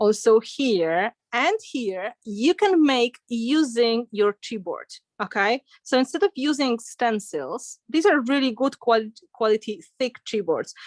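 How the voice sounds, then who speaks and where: A woman with a non-native accent and a high pitch speaks very slowly with lively intonation, the sound dry and close with no echo. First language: not English. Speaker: art instructor. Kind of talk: live online craft tutorial. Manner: casual, chatty.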